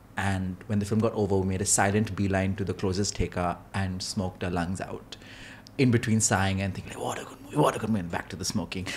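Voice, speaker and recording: Light background noise sits under a man with an unremarkable speaking voice. He speaks fairly quickly at a fairly low pitch. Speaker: film critic podcast host. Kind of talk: podcast discussion. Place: studio. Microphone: studio mic.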